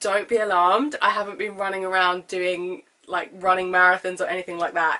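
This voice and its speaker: In a British accent, a woman with a medium pitch and a bright, sharp tone speaks at a moderate pace with fairly even intonation. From UK. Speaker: vlogger. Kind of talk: casual vlog talk.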